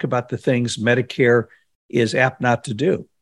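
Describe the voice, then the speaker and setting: On a very clean recording with a silent background, a man with a plain, everyday voice speaks at a medium pitch and a moderate pace. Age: 60s. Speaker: financial radio host. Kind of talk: interview.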